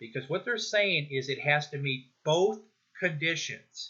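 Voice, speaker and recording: A man talks in a normal speaking voice, pitched fairly high. His pace is fairly slow and his pitch variation is ordinary. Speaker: instructor. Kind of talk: tutorial.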